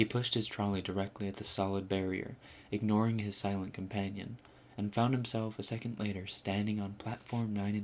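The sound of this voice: Reading in an unforced voice.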